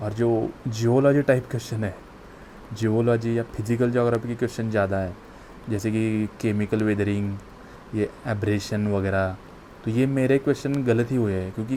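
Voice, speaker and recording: With fairly even intonation, a man talks at medium pitch. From Maharashtra, India. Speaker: exam aspirant vlogger. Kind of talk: casual vlog talk. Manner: halting, repetitive fillers.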